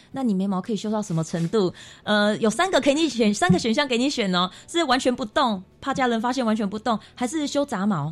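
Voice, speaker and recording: The recording is very clean with a silent background. A woman with an unremarkable speaking voice talks at a fairly quick pace with lively intonation. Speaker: makeup artist and association founder. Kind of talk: radio interview.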